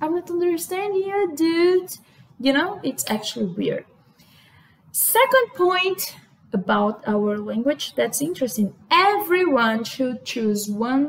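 In a Brazilian accent, a woman talks at a very slow pace with very wide pitch swings. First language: Portuguese. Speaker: vlogger. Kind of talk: casual talk to camera. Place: home room. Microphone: webcam.

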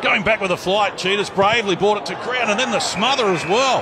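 Excited and at a fairly quick pace, a man with a high voice and an Australian accent talks with ordinary pitch variation amid noticeable background noise. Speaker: sports commentator. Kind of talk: live sports commentary. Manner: excited, fast play-by-play calling.

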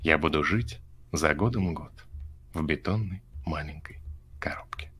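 This man has a very deep, low voice with a bright, sharp tone, speaking at a fairly slow pace with lively intonation. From Rostov region, Russia. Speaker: stream guest. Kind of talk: casual chat with poetry reading. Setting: video call via chat roulette. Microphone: video call.

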